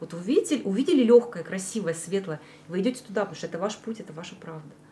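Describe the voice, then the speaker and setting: A woman talks with lively intonation. Noticeable background noise runs underneath. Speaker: esoteric practitioner. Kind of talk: casual interview.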